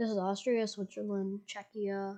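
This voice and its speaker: With little sound behind her, a woman is talking. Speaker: youtuber presenting slides. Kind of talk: casual slideshow commentary. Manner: halting, many restarts and fillers; loud.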